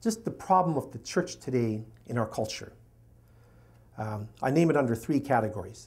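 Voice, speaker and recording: Somewhat breathy male voice at medium pitch, lively in intonation, with long, frequent pauses. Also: moderate pace. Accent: Canadian. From Canada. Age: 60s. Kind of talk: lecture.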